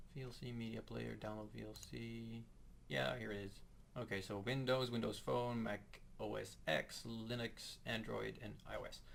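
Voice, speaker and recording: Audible room echo surrounds a man speaking at a moderate pace with a Dutch accent. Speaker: guitar tutorial youtuber. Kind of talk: tutorial. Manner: halting, hesitant. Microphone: poor audio quality, voice in right channel.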